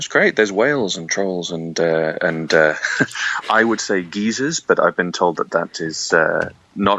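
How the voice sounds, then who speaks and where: The speaker has a British accent and talks at a fairly slow pace with ordinary pitch variation. Noticeable background noise runs underneath. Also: man. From Yorkshire, England. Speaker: public health specialist and debater. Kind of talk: interview. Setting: video call. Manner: hesitant, many fillers.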